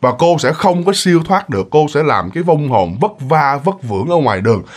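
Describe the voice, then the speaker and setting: Over a quiet background, a man with a fairly high pitch and vocal fry makes very wide pitch swings. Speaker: ghost story narrator. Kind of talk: storytelling. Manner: casual, filler-heavy. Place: home room.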